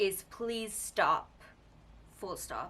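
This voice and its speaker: A woman with a Pakistani accent speaks at a very slow pace. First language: Urdu. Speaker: media commentary youtuber. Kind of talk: casual commentary video.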